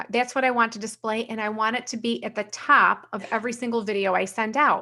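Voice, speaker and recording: A woman with an American accent talks at a very fast pace. Her fairly high voice has a bright, sharp tone and fairly even intonation. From New York. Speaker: sales trainer, company owner. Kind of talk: live software training. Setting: live stream.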